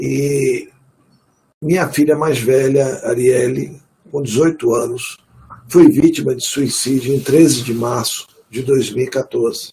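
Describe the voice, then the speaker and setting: Somewhat breathy and medium in pitch, a man talks at a fairly slow pace with fairly even intonation and long, frequent pauses. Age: 60s. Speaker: retired court officer, bereaved father. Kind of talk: webinar testimony.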